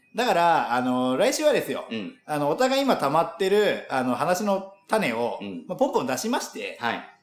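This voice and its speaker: A man's high voice with very wide pitch swings, in audible room echo. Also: moderate pace. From Japan, landlocked prefecture near Tokyo. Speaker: podcast co-host. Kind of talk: casual chat.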